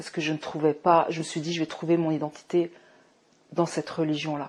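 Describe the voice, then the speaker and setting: With a very deep, low pitch, a woman talks at a fairly quick pace. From Morocco. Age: 40s. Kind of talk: testimony. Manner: halting, many fillers.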